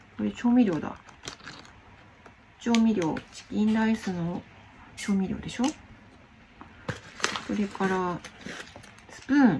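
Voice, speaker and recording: A woman speaks at a very slow pace with long, frequent pauses, big swings in loudness and ordinary pitch variation over noticeable background noise. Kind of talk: casual vlog chat. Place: home room. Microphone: phone near.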